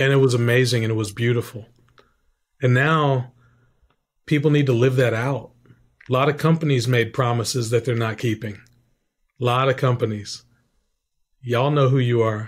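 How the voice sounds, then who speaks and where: Somewhat breathy and medium in pitch, a man speaks at a moderate pace with long, frequent pauses. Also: fairly even intonation. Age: 50s. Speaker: veteran, author and documentary director. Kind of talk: interview. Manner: halting.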